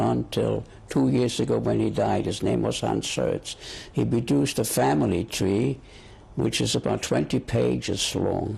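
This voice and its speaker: A man's voice marked by vocal fry and very wide pitch swings. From Germany (Göttingen). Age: 70s. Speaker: Holocaust survivor interviewee. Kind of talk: oral history interview. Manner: halting, with repetitions.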